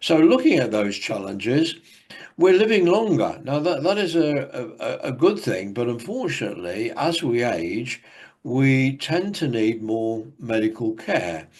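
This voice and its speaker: Speaking with an English accent at a fairly slow pace, a man with a medium pitch makes very wide pitch swings. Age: 70s. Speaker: academic speaker. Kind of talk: conference presentation. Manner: halting.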